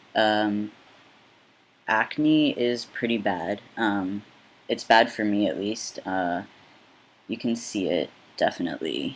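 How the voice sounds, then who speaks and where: A man's fairly low voice at a very slow pace, with long, frequent pauses and lively intonation. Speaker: vlogger. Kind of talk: casual vlog update. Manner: hesitant, many fillers.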